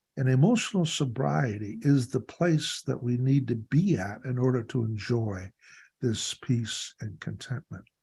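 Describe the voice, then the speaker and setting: Somewhat breathy, a man with a medium pitch speaks at a fairly slow pace with lively intonation. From Canada (Ontario). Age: 70s. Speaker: recovery workshop leader. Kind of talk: workshop talk.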